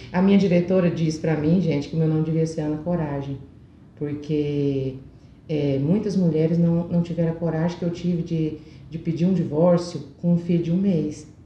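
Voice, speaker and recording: In a room with audible echo, a woman speaks in a somewhat breathy, monotone, flat intonation. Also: fairly low pitch for a woman, moderate pace. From Brazil, Goiás (Alto Horizonte). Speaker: motivational speaker and cosmetics sales director. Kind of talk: interview.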